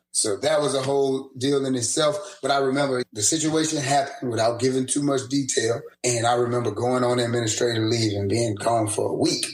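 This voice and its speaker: Speaking with an American accent at a fairly quick pace and hardly any pauses, a man uses medium pitch and ordinary pitch variation amid audible room echo. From New Orleans, Louisiana. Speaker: teacher. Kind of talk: casual podcast interview storytelling. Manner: animated.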